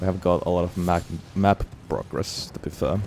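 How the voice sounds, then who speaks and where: Mumbled, monotone speech from a man with a very deep, low pitch, over noticeable background noise. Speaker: gaming streamer. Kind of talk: live gameplay commentary. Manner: mumbling.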